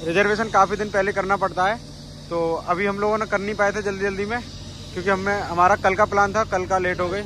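A man speaks in a raised, projected voice with flat, monotone intonation. The sound is dry with no echo, with light background noise. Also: moderate pace. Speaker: travel vlogger. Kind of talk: casual vlog chat. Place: station. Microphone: phone near.

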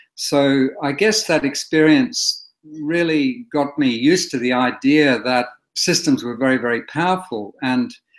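Over a quiet background, a man with an Australian accent speaks at a fairly slow pace with ordinary pitch variation. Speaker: historian and author. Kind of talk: interview. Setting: video call. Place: home room. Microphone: webcam.

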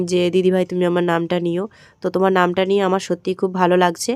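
Recorded very cleanly with a silent background, a woman's medium-pitched voice has a dark, mellow tone and a dry, close sound with no echo. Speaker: daily life vlogger. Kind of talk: vlog voice-over narration. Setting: at home, partly outdoors.

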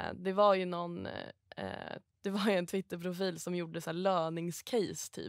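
Against a quiet background, a woman talks at a moderate pace with a fairly low pitch and monotone, flat intonation, the sound dry with no echo. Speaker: stockbroker; podcast guest. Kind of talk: casual podcast chat. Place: studio.

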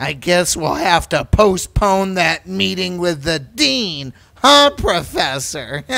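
At a very slow pace, a man speaks in a high pitch with very wide pitch swings. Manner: bitter, then manic screaming.

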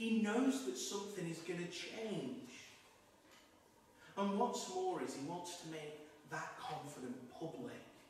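Strong room echo surrounds a man speaking at a moderate pace. Light background noise sits underneath. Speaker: priest giving homily. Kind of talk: sermon. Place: church.

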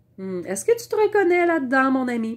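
A woman talks with a Quebec accent, her pitch swinging very widely. The background is quiet. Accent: Québécois French. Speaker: vlogger; wellness vlogger. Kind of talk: casual monologue to camera. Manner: hesitant, many fillers. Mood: warm, reflective. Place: home room. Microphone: lapel.

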